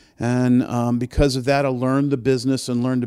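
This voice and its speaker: In a Southern US accent, a man speaks at a fairly quick pace and medium pitch with a dark, mellow tone, in a very clean recording with a silent background. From US South, New Orleans. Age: old. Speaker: music festival producer. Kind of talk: casual interview. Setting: in an office.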